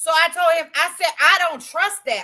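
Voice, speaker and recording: A woman's bright, sharp voice comes through raised and projected, her tone animated. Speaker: live streamer. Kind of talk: casual livestream chat. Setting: at home, livestream. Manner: loud.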